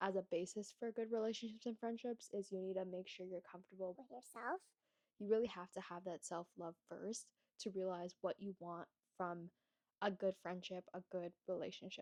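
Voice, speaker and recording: A woman with a Canadian accent has an unremarkable speaking voice at a medium pitch. She talks at a moderate pace with fairly even intonation, in a dry, close sound with no echo. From Toronto, Canada. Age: 20s. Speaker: lifestyle vlogger, university student. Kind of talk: casual talk to camera.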